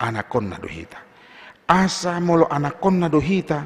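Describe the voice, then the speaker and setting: A man with a plain, everyday voice, lively intonation and a moderate pace. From North Sumatra, Indonesia (Batak). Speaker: pastor. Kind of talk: sermon. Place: church. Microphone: podium.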